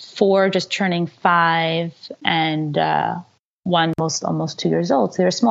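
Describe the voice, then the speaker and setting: A woman's fairly low-pitched voice, at a moderate pace and with fairly even intonation. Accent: New York. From New York. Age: 30s. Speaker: executive and life coach. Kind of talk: interview conversation.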